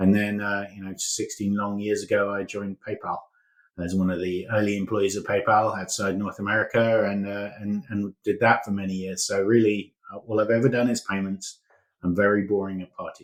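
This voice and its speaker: Delivery is fairly quick, in a monotone, flat intonation. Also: man, fairly low pitch for a man. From England, London. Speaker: company founder and CEO. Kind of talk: interview.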